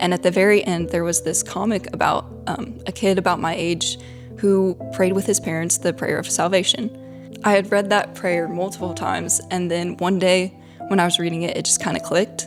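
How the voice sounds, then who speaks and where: Someone talks at a moderate pace in a Southern US accent. Music plays in the background. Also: woman. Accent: Southern American. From Middle Tennessee. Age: young. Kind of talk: personal testimony.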